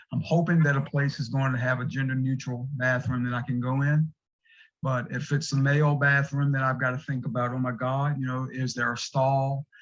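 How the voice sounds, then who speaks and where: Somewhat breathy, a man at a medium pitch talks at a fairly quick pace in a monotone, flat delivery. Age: 60s. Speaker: recovery group co-founder, patient speaker. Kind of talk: testimony. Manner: halting.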